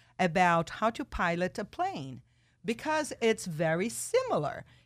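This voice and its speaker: A woman with a Portuguese accent, fairly low in pitch and fairly slow in pace, on a very clean recording with a silent background. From Brazil, São Paulo. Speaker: radio talk show host. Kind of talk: radio interview. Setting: radio studio. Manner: animated.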